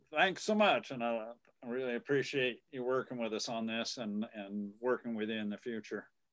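With little behind him, a man talks at a moderate speed. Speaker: society meeting host. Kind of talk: casual chat. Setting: video call. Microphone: video call.

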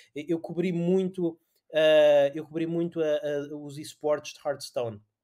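The man's intonation is monotone and flat. His tone is dark and mellow. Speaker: podcast host. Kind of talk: casual chat.

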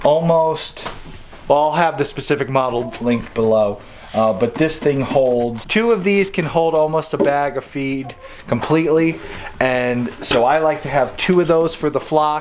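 A man talks at a fairly slow pace with a fairly high pitch and ordinary pitch variation. Faint background noise sits behind him.

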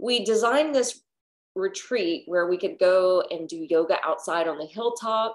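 Against a quiet background, a woman speaks with lively intonation. Her pace is moderate. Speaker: yoga teacher. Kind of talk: casual class introduction story. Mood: warm and cheerful. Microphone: webcam.

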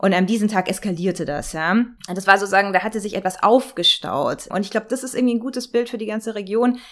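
A woman speaks at a very fast pace. Her voice is medium in pitch, with ordinary pitch variation. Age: 40s. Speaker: political scientist. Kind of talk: interview. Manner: animated.

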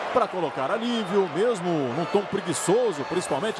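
A man's high-pitched voice rises and falls with lively intonation while noticeable background noise carries on. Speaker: football match commentator. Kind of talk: live sports commentary. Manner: fast, excitable, shouting goal calls.

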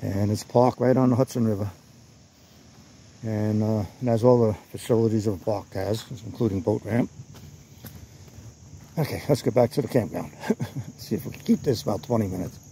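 A man's somewhat breathy voice, dark and mellow in tone, fairly quick with ordinary pitch variation, dry with no echo over light background noise. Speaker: campground tour vlogger. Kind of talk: casual vlog chat. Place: forest. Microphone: phone near.

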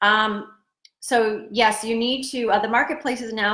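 A woman at a fairly slow pace, fairly bright in tone, with fairly even intonation and audible room echo

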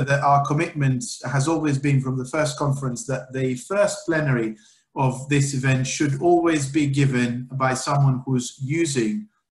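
Recorded with audible room echo over a quiet background, a man talks in a somewhat breathy voice. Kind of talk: formal introduction of a speaker. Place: home room.

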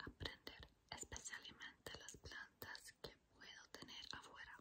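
Very slowly, a woman whispers. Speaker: ASMR language teacher. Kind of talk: language lesson, ASMR whisper. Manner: whispered. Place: home room. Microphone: phone near.

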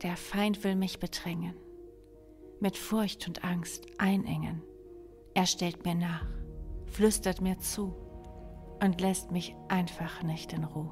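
The speech moves at a very slow pace with long, frequent pauses while music plays in the background. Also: woman. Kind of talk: poetry reading.

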